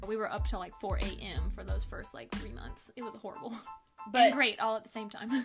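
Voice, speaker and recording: A woman at a fairly quick pace, with big swings in loudness and music in the background. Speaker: podcast guest, host's fiancée.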